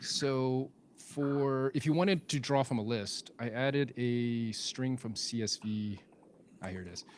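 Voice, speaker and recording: A man's plain, everyday voice at a medium pitch, fairly slow, with ordinary pitch variation. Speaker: software developer advocate presenting a tool. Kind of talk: live technical demo with audience Q&A.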